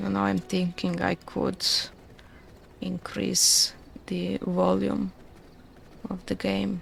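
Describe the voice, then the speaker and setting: Soft-spoken delivery at a very slow pace, with long, frequent pauses. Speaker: video game streamer. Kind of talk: live gameplay commentary. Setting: live stream.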